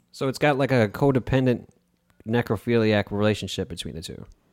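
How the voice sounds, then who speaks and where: Recorded very cleanly against a silent background, a man talks at a fairly quick pace with ordinary pitch variation. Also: long, frequent pauses. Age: 20s. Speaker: podcast host. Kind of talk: casual chat.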